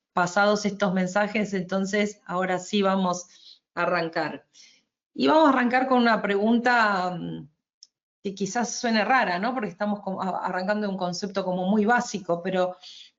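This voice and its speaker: A woman speaks in an Argentine accent. Her pitch is medium. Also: ordinary pitch variation, moderate pace. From Argentina. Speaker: energy efficiency advisor, webinar presenter. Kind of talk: webinar presentation. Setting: online webinar. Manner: hesitant, with fillers and restarts.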